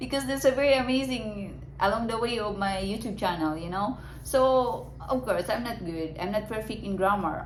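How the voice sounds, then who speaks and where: With a Filipino accent, a woman speaks at a moderate pace and with lively intonation, amid audible room echo and noticeable background noise. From Philippines. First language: Filipino language. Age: 30s. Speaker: vlogger. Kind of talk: casual monologue to camera. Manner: halting.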